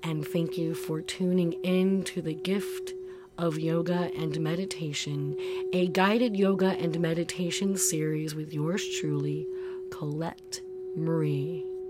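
Fairly slow speech over music in the background. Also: woman. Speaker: yoga and meditation teacher. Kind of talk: guided meditation. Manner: slow, soothing, calm and gentle; unhurried, warm, soft-spoken.

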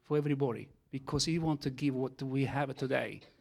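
An Italian accent with monotone, flat intonation at a moderate pace, in a very clean recording with a silent background. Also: man. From Italy. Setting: church.

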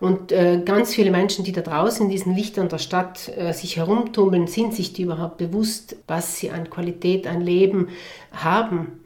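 Her intonation stays fairly even as a woman speaks at a moderate pace and medium pitch. Noticeable background noise runs underneath. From South Tyrol, Italy. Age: 40s. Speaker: entrepreneur and beekeeper. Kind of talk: interview.

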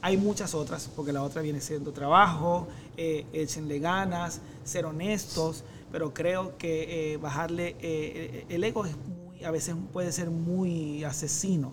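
Amid audible room echo, a man with a fairly high pitch speaks at a fairly slow pace with fairly even intonation. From Venezuela, Maracaibo. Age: 40s. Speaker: social media content creator. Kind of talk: casual interview chat.

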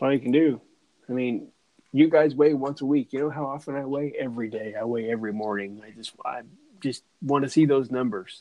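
This man has a medium pitch and a normal speaking voice. He goes at a fairly quick pace with ordinary pitch variation. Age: 40s. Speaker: podcast host. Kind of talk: casual chat.

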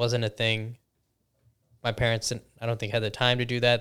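A man talks at a fairly quick pace in a medium pitch with monotone, flat intonation, on a very clean recording with a silent background. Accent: Chicago-area. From US Midwest, Chicago suburbs. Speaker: pharmacist. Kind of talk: casual chat.

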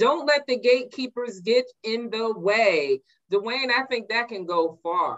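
A woman uses a plain, everyday voice with lively intonation. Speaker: interviewer and show host. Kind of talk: casual interview. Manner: warm, upbeat.

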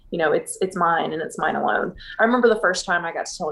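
A woman with an American accent at a very fast pace, over noticeable background noise. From Texas (Houston). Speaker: business owner. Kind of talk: interview.

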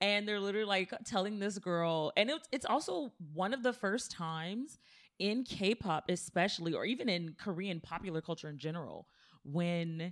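A woman's medium-pitched, an unremarkable speaking voice, ordinary pitch variation and a very clean recording against a silent background. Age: 30s. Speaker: podcast co-host. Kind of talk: casual chat.

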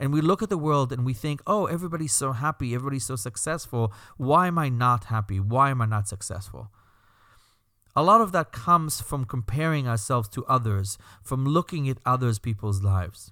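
In a very clean recording with a silent background, a man talks with a Belgian accent at a fairly quick pace. His medium-pitched voice has a bright, sharp tone and lively intonation. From Belgium. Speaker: rabbi and podcast host. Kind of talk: scripted-style podcast introduction monologue.

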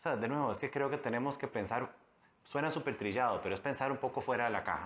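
A man talks at a very fast pace. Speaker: politician, mayoral candidate. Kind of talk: interview.

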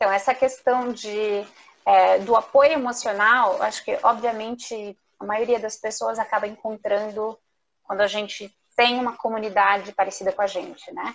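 Fairly even intonation marks a plain, everyday voice moving at a moderate pace. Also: woman, fairly high pitch for a woman. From southern Brazil, Curitiba. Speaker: entrepreneur, macaron maker. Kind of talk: live interview.

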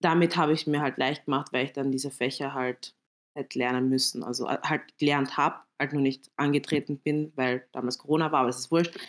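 A woman's very deep, low voice with monotone, flat intonation. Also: fairly quick pace. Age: 20s. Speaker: dental student and exam-prep coach. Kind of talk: casual chat. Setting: online voice chat.

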